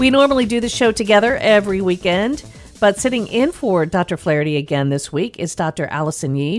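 Speaking at a fairly quick pace, the woman sounds upbeat, her pitch swinging very widely. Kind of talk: radio host patter: brisk show ID, web address and phone number read out before a break. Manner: polished, upbeat and clear, a steady broadcast-style rundown of contact details.

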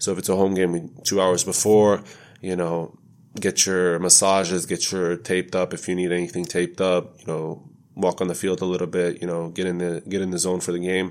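This man has a very deep, low pitch and an American accent, speaking at a fairly quick pace in a monotone, flat intonation. The recording is very clean with a silent background. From United States. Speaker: professional soccer player. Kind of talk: casual interview.

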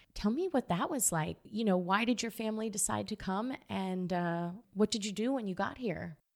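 A woman talks at a moderate pace with hardly any pauses, in an unremarkable speaking voice of medium pitch and ordinary pitch variation. The recording is very clean, with a silent background. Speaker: podcast host. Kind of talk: interview, podcast host.

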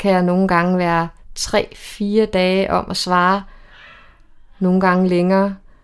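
A woman with an unremarkable speaking voice talks at a fairly slow pace and medium pitch in a very clean recording with a silent background. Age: 40s. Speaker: single woman sharing dating stories. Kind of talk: casual chat. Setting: at a women's party.

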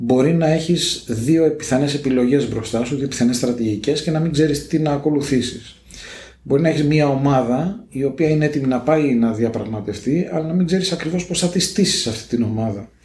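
At a moderate pace, a man with a fairly high pitch speaks in a somewhat breathy, dark, mellow tone with ordinary pitch variation and audible room echo. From Greece, Piraeus. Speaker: negotiation consultant. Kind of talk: interview.

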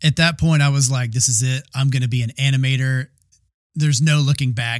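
On a very clean recording with a silent background, a man with an American accent talks at a fairly quick pace. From US South, Georgia. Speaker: podcast host. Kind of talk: solo monologue podcast.

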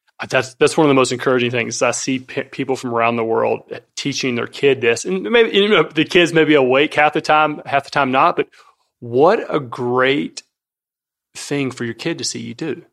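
A man with an American accent and a plain, everyday voice, medium in pitch, at a moderate pace with ordinary pitch variation over a quiet background. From US South. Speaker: fitness coach. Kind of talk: casual chat. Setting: kitchen table.

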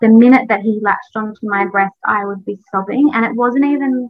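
At a moderate pace, a woman speaks with an Australian accent in a fairly high voice. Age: 30s. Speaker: businesswoman and content creator. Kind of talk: interview storytelling.

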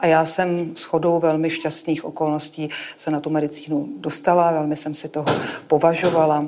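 A woman talks with a very deep, low pitch at a fairly quick pace. Her intonation is monotone and flat. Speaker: oncologist. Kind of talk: talk on stage.

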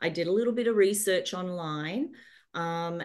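Over a quiet background, the speech moves at a fairly slow pace with ordinary pitch variation. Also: woman. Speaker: guest, pranic healing student. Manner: peaceful, quiet.

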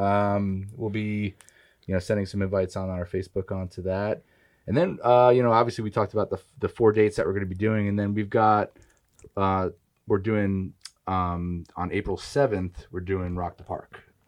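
A plain, everyday voice with fairly even intonation comes through over a quiet background. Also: man, fairly low pitch for a man, moderate pace. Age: 40s. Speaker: musician. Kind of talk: casual chat.

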